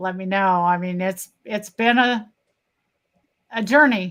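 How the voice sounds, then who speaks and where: With an ordinary speaking voice, a woman talks at a moderate pace and keeps her intonation fairly even. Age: 60s. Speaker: patient. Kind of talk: testimony in live interview.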